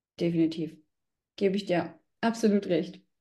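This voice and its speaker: The voice belongs to a woman. It comes across as somewhat breathy. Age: 20s. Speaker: tax exam candidate. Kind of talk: interview.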